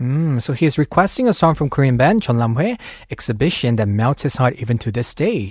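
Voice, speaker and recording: At a fairly quick pace, a man speaks at a medium pitch with lively intonation. His voice is somewhat breathy. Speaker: radio host. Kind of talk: casual chat. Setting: studio. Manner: animated.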